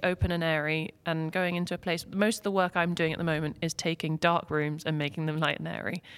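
Speaking with an English accent, a woman uses a fairly low pitch. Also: very clean recording, silent background. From England. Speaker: interior designer. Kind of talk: podcast interview. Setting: studio. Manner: hesitant, many fillers.

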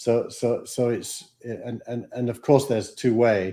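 A man is speaking. He has a Yorkshire accent. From Yorkshire, England. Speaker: startup advisor and investor. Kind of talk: casual interview.

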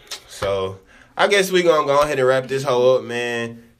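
This man has an ordinary speaking voice, medium in pitch, moving at a moderate pace with lively intonation. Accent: American. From Dallas, Texas. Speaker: podcast host.

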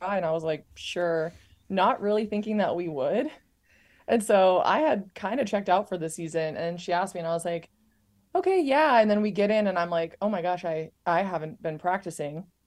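Speaking at a moderate pace with an American accent, this woman has a plain, everyday voice, a medium pitch, and ordinary pitch variation over a quiet background. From Montana. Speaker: professional volleyball player. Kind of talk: casual interview chat.

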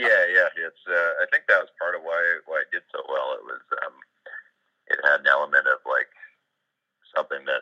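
A man with an extremely high, bright and sharp voice projects it loudly at a fairly quick pace, his volume swinging widely. His intonation stays flat and monotone, with long, frequent pauses, and the sound is dry and close with no echo. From Ontario, Canada (rural area near Kingston). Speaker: rapper and contractor. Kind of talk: casual chat.

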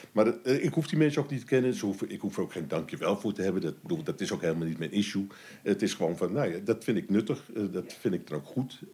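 A man's fairly low voice with a dark, mellow tone, very wide pitch swings and a very fast pace. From Amsterdam, Netherlands. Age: 60s. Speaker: municipal cleaning coordinator. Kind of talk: casual interview. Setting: waste collection site. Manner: halting.

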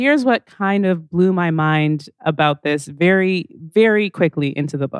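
In a plain, everyday voice, a woman talks at a fairly slow pace with a fairly low pitch, lively intonation and hardly any pauses. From Calgary, Alberta, Canada. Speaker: moderator, radio host and comedian. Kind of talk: on-stage interview. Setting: stage with audience.

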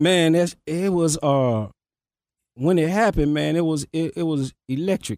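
A man with a Memphis accent speaks at a fairly slow pace and fairly high pitch. The very clean recording has a silent background and a dry, close sound with no echo. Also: ordinary pitch variation. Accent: Southern US, Memphis. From South Memphis, Tennessee. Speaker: rapper. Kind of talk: casual interview.

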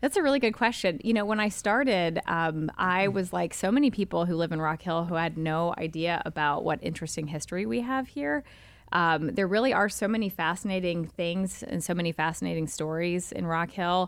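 A woman talks at a fairly quick pace with hardly any pauses, her pitch fairly low and her intonation lively. The recording is very clean, with a silent background. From Charlotte, North Carolina. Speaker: historic preservation director. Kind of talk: interview. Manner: hesitant, many fillers.

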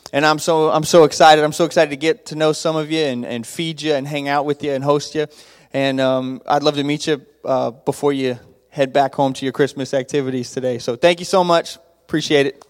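A man with an American accent and a fairly high pitch talks with fairly even intonation. He has an unremarkable speaking voice. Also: fairly quick pace. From Texas, Abilene. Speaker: youth pastor. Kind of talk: church greeting talk. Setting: church with congregation.

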